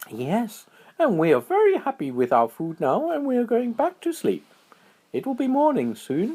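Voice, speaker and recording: Using a put-on character voice, a man speaks at an extremely high pitch and a moderate pace. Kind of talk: bedtime story. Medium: read story.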